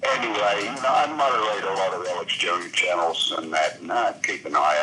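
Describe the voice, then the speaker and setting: Background noise is noticeable throughout this clip. Over it, a man talks at a moderate pace. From Australia. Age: 60s. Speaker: caller. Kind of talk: phone call-in chat.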